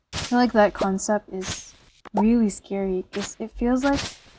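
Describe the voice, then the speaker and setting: This speaker has a non-native accent. The delivery is fairly slow, with fairly even intonation. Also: woman. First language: not English. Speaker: solo podcaster. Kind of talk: casual monologue. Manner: hesitant, many fillers.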